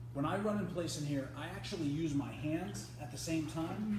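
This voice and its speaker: Noticeable noise fills the background, and the room echo is audible. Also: man. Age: 40s. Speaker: swim spa company presenter. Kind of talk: live-streamed product demonstration and exercise tutorial. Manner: casual, conversational.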